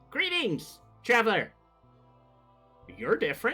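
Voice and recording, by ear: In a put-on character voice, the speaker talks at a fairly slow pace with faint music in the background.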